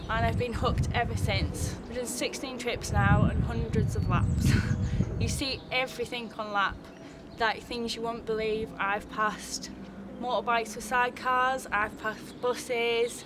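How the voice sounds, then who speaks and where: A woman speaks at a fairly slow pace, with audible room echo and music in the background. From northern England (County Durham). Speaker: amateur track driver. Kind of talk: interview. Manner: animated.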